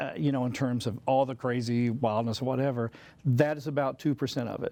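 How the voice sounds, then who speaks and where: Speaking with a Southern accent, a man uses a dark, mellow tone, medium pitch, and ordinary pitch variation. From US South. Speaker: composer and musician. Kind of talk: casual interview chat.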